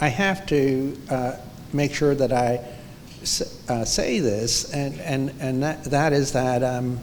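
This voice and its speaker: A man with an American accent speaks very slowly at a fairly high pitch, with fairly even intonation, long, frequent pauses and audible room echo. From New York City. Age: 70s. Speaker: photographer. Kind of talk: onstage interview. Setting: museum library with audience. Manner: halting.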